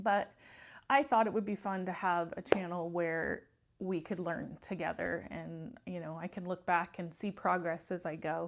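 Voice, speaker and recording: Over a very clean recording with a silent background, a woman with fairly low pitch and vocal fry speaks at a moderate pace with ordinary pitch variation. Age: 50s. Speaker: lifestyle vlogger. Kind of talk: casual talk to camera.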